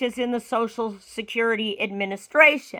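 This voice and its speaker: In a very clean recording with a silent background, a woman speaks at a moderate pace in a raised, projected voice with a bright, sharp tone. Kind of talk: casual talk to camera.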